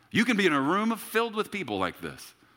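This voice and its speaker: On a very clean recording with a silent background, a man with a bright, sharp tone speaks at a moderate pace, his pitch swinging very widely. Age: 30s. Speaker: pastor. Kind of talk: sermon. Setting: church service with congregation.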